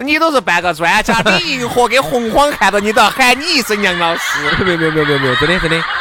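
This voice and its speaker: A man with a high pitch talks at a very fast pace in a raised, projected voice. His pitch swings very widely over noticeable background noise. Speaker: podcast host. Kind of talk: casual chat. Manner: animated.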